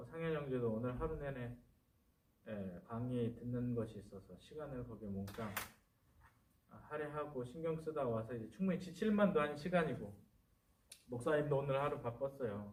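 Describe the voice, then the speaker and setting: A man talks at a moderate pace with lively intonation and a somewhat breathy voice. Long, frequent pauses break up his speech, and the room echo is audible. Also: medium pitch for a man, big swings in loudness. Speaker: pastor. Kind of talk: casual chat.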